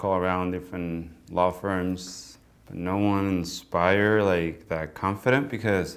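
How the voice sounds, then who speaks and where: A man with a Spanish accent speaks at a fairly slow pace in a very deep, low pitch with fairly even intonation. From Sonora, northern Mexico. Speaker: client giving a testimonial. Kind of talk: testimonial.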